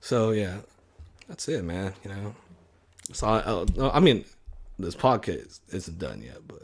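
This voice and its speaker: A man with fairly low pitch and vocal fry, lively intonation, a fairly slow pace and long, frequent pauses. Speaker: podcaster. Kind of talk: casual monologue. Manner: stutter; halting. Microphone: close to mic, heavy breathing audible.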